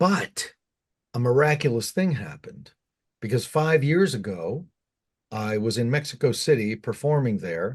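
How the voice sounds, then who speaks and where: This man's medium-pitched voice is somewhat breathy, moving at a moderate pace with lively intonation and long, frequent pauses. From US, Cuban household. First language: Spanish. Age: 50s. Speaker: goth musician. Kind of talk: interview.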